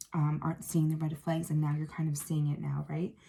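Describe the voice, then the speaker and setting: A woman's very deep, low voice, somewhat breathy and dark and mellow in tone, at a fairly quick pace with monotone, flat intonation. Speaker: tarot reader. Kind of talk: tarot reading monologue. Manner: fast; hesitant, many fillers.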